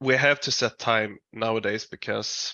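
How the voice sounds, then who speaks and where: A man is speaking. He has a Swedish accent. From Sweden. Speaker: metal band musician. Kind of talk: interview. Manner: halting.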